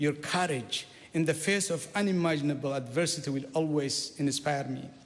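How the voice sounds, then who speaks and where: A man with an Eritrean accent speaks with ordinary pitch variation. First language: Saho. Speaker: politician. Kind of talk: parliamentary maiden speech. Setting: parliament chamber. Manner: formal.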